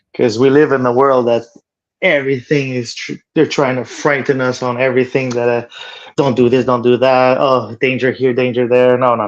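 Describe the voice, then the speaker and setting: Flat and monotone, a man with a Quebec accent speaks at a moderate pace. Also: medium pitch for a man. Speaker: cold exposure practitioner. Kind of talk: casual interview chat.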